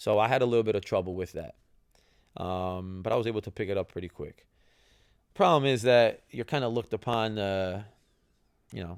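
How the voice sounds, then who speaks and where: A man with a New Jersey accent talks at a fairly quick pace, with ordinary pitch variation. He leaves long, frequent pauses, and the recording is very clean with a silent background. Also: fairly low pitch for a man. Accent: New Jersey American English. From New Jersey, US. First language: Italian. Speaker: retired professional soccer player, podcast host. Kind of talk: casual podcast monologue. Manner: conversational, with fillers and repetitions.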